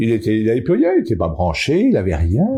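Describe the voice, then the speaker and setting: A dark, mellow, somewhat breathy tone against a quiet background. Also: man. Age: 70s. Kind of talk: interview answer.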